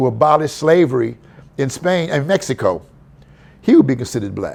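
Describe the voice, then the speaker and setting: Vocal fry colors a fairly quick delivery in an American accent with lively intonation. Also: man. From San Francisco, California. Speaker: historian, author and lecturer. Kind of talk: podcast interview answer. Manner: casual, conversational.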